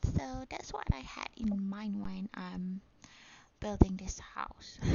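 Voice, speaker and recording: A woman speaks at a very slow pace, her loudness swinging widely. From Malaysia. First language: Malay. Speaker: gaming YouTuber. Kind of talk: casual gameplay narration. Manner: hesitant, many fillers.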